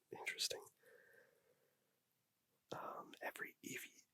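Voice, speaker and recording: Whispering at a moderate pace, a man comes through with a dry, close sound and no echo. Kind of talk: ASMR whispered trivia reading. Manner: whispered, soft-spoken; casual, chatty, with filler words and laughter.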